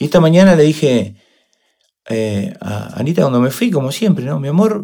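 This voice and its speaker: With a plain, everyday voice, a man speaks at a moderate pace, his fairly high pitch moving in lively intonation. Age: 50s. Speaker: motivational speaker and coach. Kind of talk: interview.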